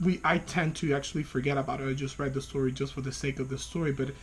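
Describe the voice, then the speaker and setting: With a Spanish accent, a man talks at a very fast pace in a fairly high pitch, his intonation fairly even. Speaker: graduate student. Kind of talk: video class reflection. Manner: hesitant, with fillers.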